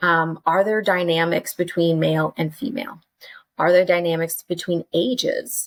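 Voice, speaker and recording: In an American accent, a woman talks at a moderate pace with a fairly low pitch and ordinary pitch variation. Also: dry, close sound with no echo. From Texas, Dallas-Fort Worth. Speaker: curriculum developer and educator. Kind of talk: casual interview chat. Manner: animated, conversational with many fillers.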